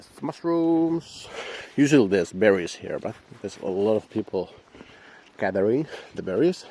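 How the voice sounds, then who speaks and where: A man with a Finnish accent talks at a moderate pace in a fairly low pitch with very wide pitch swings. His loudness swings widely, and he takes long, frequent pauses. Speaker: dog owner vlogger. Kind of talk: casual vlog narration. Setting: outdoors. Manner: halting.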